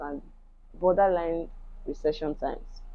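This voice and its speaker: This woman has a Yoruba accent. Her pitch is fairly low. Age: 30s. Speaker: YouTuber, crochet and knitwear fashion designer. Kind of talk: vlog monologue. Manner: reflective, casual.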